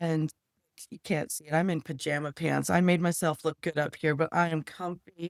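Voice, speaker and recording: A woman speaks with a very deep, low pitch and fairly even intonation at a moderate pace. The sound is dry and close, with no echo. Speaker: psychotherapist and nurse. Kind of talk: casual interview.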